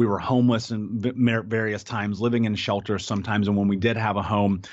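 A man with a fairly low voice talks at a fairly quick tempo. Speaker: advocate for child abuse survivors, speaker and author. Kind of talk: interview conversation. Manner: animated.

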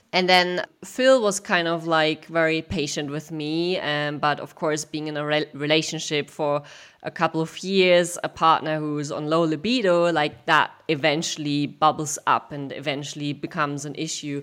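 At a moderate pace, a woman with a very deep, low pitch speaks with fairly even intonation. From Germany. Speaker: sex educator and company founder. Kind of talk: interview. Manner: hesitant, many fillers.

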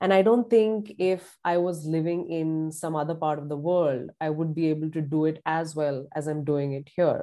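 Very deep and low for a woman, her voice has a dark, mellow tone and ordinary pitch variation, with hardly any pauses. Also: moderate pace. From India, Pune. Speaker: high performance coach. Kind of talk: interview conversation.

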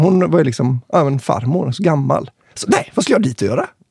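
At a fairly quick pace, a man with a fairly high, somewhat breathy voice uses lively intonation, recorded dry and close with no echo. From Kungälv area near Marstrand, west Sweden. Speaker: podcast host, musician. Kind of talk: casual chat.

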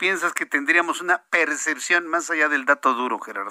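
An animated tone at a moderate pace, dry and close with no echo. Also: man. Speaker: radio news anchor. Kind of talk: radio news show.

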